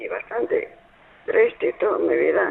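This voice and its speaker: A man talks at a very slow pace. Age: 80s+. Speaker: caller. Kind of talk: phone call. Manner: halting.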